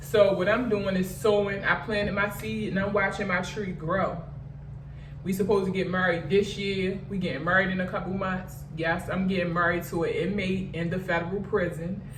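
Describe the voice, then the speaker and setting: At a moderate pace and medium pitch, a woman speaks with fairly even intonation, with audible room echo and noticeable background noise. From Baltimore, Maryland. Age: 40s. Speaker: vlogger sharing personal story. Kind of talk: storytime monologue. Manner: casual, conversational.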